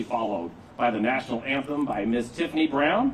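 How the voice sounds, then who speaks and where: A man speaks at medium pitch with very wide pitch swings. Noticeable background noise runs underneath. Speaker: master of ceremonies, army veteran. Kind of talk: ceremony emcee speech. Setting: stage with audience. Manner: loud.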